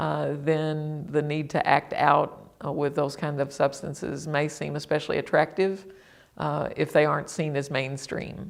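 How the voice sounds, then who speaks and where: A woman's very deep, low voice with vocal fry, monotone, flat intonation and a fairly slow pace. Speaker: former state legislator, advocate. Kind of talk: interview. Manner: halting, many fillers.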